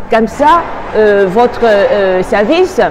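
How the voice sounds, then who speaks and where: Over noticeable background noise and audible room echo, a woman speaks very slowly at a fairly high pitch. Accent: Chinese. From Taiwan. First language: Mandarin (speaking French). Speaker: tour guide. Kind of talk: interview. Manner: halting, many hesitations.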